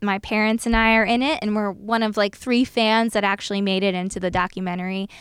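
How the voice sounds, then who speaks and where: An ordinary speaking voice delivers the words at a fairly quick pace with fairly even intonation. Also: woman. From South Jersey, US Northeast. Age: 30s. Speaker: former media producer, haunted house operator. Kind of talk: casual chat.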